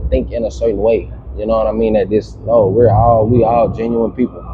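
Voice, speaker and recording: Someone with an American accent talks at a fairly quick pace in a relaxed tone, with noticeable background noise. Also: man. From Louisiana, US South. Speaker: podcast guest. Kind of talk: casual chat. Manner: relaxed, filler-heavy speech.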